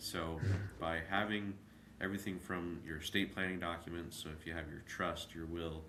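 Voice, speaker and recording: Here a man speaks at a moderate pace in a very deep, low voice. His intonation is monotone and flat, and room echo is audible. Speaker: estate planning attorney. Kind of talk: interview. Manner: hesitant, many fillers.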